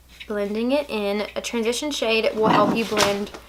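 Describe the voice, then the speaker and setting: Speaking with an American accent, a woman uses a fairly high pitch and fairly even intonation. Her pace is fairly slow, and there is noticeable background noise. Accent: Southern US accent, strong at times. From Alabama, US South. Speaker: beauty vlogger. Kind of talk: makeup tutorial. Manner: casual, chatty.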